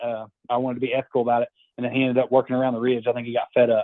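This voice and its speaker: Very fast-talking man with a Southern US accent, medium pitch. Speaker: amateur turkey hunter. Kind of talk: casual chat, telling a hunting story.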